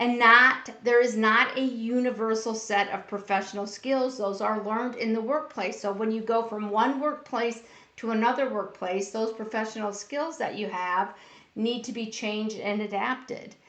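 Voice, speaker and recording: Noticeable background noise surrounds a woman speaking at a moderate pace, her fairly high voice held to fairly even intonation. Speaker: workplace bullying educator. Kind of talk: live-streamed talk. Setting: Facebook Live stream. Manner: loud.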